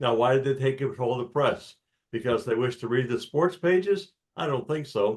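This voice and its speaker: A man speaks fairly quickly at a medium pitch with ordinary pitch variation. His voice is somewhat breathy. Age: 70s. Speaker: audience member asking a question. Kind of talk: Q&A discussion.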